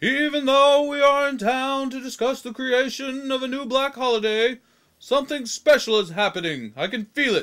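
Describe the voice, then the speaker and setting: This cartoonish character voice moves at a moderate pace. The recording is very clean, with a silent background. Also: man, extremely high pitch for a man. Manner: earnest, leaderly.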